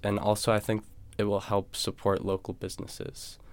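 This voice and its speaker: A man with an American accent speaks at a moderate pace, his fairly low pitch held in monotone, flat intonation. The recording is very clean, with a silent background. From US New England, New Hampshire. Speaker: student government candidate. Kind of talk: interview.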